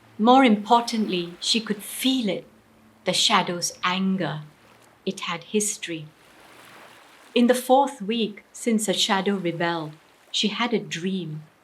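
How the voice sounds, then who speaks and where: A somewhat breathy woman at medium pitch, with ordinary pitch variation, a fairly slow pace and long, frequent pauses. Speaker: storyteller. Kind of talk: storytelling performance of a short story.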